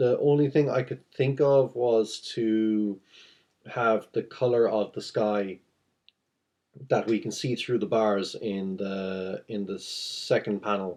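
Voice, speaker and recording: A mumbling man at medium pitch, with ordinary pitch variation. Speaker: comic artist. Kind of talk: tutorial. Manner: halting.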